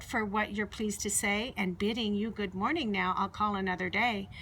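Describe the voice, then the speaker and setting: A woman doing a put-on character voice, medium pitch, moderate pace, clear background noise. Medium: read story. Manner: polite, demure.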